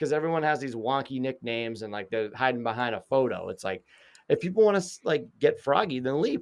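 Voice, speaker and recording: Speaking at a fairly quick pace with lively intonation, a man with a Boston accent has a fairly high pitch against a quiet background. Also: big swings in loudness. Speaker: mental health advocate and podcast host. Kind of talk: casual chat.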